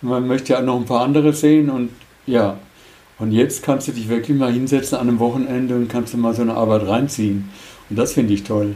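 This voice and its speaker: The speaker moves at a fairly quick pace with fairly even intonation. Noticeable background noise runs underneath. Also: man, medium pitch for a man. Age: 70s. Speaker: former travel scholarship participant. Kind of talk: interview.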